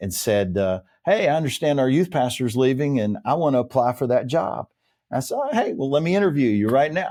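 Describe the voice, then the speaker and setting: Over a very clean recording with a silent background, a man with a dark, mellow tone talks at a medium pitch and a fairly quick pace with lively intonation. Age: 60s. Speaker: leadership development consultant, former pastor. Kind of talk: interview conversation. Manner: animated.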